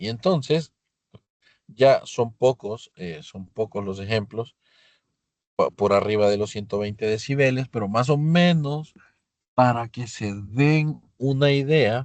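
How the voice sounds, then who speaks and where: At a very slow pace, a man with medium pitch shows big swings in loudness over a quiet background. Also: ordinary pitch variation. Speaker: physics teacher. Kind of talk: lecture. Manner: halting.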